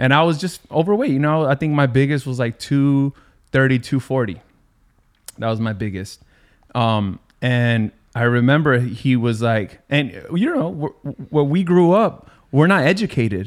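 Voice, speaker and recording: Here is a man with a plain, everyday voice at a medium pitch. He keeps a moderate pace and lively intonation. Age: 40s. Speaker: podcast host. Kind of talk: casual chat.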